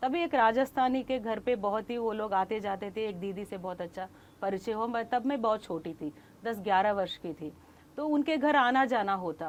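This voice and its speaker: With lively intonation, a woman in a fairly high pitch speaks at a moderate pace. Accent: Kannada. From Tamil Nadu, India. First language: Kannada (speaking Hindi). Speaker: Hindi book promoter, scholar. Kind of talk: interview.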